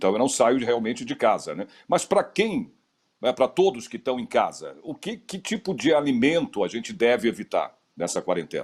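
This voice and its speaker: Moderate pace, vocal fry and very wide pitch swings in a very clean recording with a silent background. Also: man, fairly high pitch for a man. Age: 60s. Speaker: interviewer. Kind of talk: interview.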